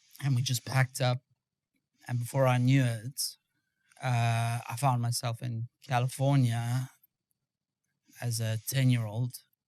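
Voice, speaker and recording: A man with a South African accent, medium in pitch, monotone and flat in intonation, at a fairly slow pace. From South Africa, Johannesburg. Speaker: former special forces soldier. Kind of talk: interview. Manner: halting.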